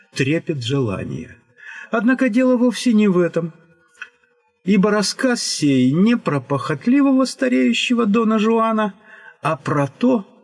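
A man speaks at a very slow pace while faint music plays behind him. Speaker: storyteller. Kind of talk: literary narration.

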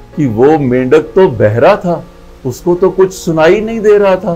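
Faint music plays in the background as a man talks at a very slow pace. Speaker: storyteller. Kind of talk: moral story narration. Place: home room. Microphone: lapel.

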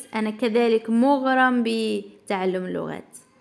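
Here is a woman with a fairly high pitch. Her pitch variation is ordinary. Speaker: English teacher. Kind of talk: tutorial.

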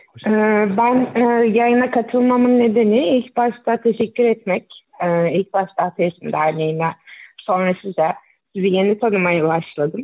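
At a moderate pace and medium pitch, a woman talks in a normal speaking voice with ordinary pitch variation and very even loudness. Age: 30s. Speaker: caller, mother. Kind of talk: call-in question. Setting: phone call.

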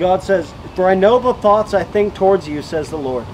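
Light background noise surrounds a man talking at a fairly quick pace in a high voice with ordinary pitch variation. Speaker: street preacher. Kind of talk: sermon. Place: open country. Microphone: camera far.

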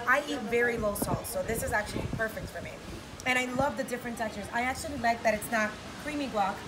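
Music plays in the background as a woman talks. She speaks at a very fast pace with ordinary pitch variation. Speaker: radio host. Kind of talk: casual cooking segment chat. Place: beach. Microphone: camera far.

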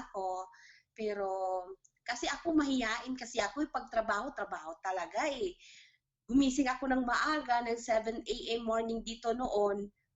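Moderate pace and typical pitch movement in a plain, everyday voice from a woman, pitched fairly high. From Philippines, Mindanao (General Santos). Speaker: overseas domestic worker. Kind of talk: interview testimony.

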